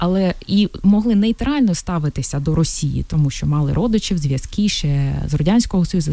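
A woman speaks with a Russian accent at a fairly low pitch. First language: Russian (speaking Ukrainian). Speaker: city council member and entrepreneur. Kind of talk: radio interview, testimony. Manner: halting, with repetitions.

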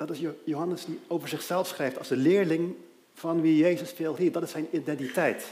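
There's audible room echo as a man speaks in a high voice with ordinary pitch variation. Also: moderate pace. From Aruba. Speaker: lay preacher. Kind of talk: sermon.

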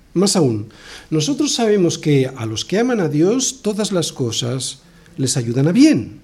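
In a Spanish accent, a man speaks at a fairly high pitch. His pitch swings very widely. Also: fairly slow pace. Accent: Spain. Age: 60s. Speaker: pastor. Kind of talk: sermon.

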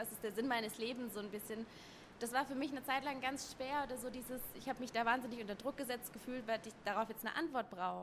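A high-pitched woman speaks at a very fast pace. Her intonation is fairly even. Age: 20s. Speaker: yoga teacher. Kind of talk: casual chat. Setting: sitting on a yoga mat in a pop-up store.

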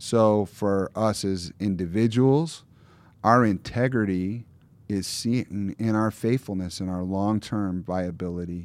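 A plain, everyday voice: a man with an American accent, fairly low pitch and ordinary pitch variation, at a fairly slow pace, on a very clean recording with a silent background. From Michigan, US Midwest. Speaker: pastor. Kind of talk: casual chat.

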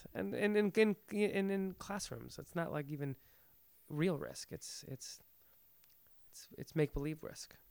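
With lively intonation and big swings in loudness, a high-pitched man speaks at a fairly slow pace with long, frequent pauses. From Iran, immigrated to the US as a child. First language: Farsi. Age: 30s. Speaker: actor and theater director. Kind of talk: casual interview. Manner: halting, many repetitions.

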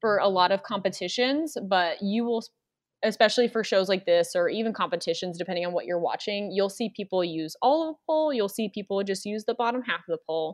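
A woman's medium-pitched voice, a normal speaking voice, at a fairly quick pace with lively intonation. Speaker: pole dancer and instructor. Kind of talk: casual interview.

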